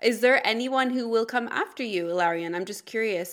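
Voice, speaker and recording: The speaker has a normal speaking voice, talking at a fairly quick pace with ordinary pitch variation. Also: woman. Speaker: podcast host and dietitian. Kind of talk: interview.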